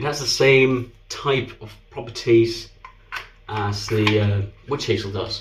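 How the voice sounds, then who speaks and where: A man with a Danish accent, very slow and somewhat breathy, fairly even intonation, big swings in loudness, and audible room echo. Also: medium pitch for a man. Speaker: shaving video creator. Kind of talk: product review. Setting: bathroom.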